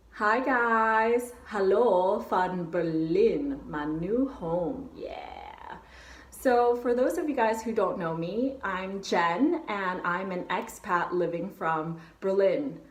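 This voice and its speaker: A woman with an American accent speaks at a very slow pace and a fairly high pitch, with lively intonation. Noticeable background noise and audible room echo are present. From US West Coast, San Francisco. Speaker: travel vlogger. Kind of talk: vlog talking to camera. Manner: casual, upbeat.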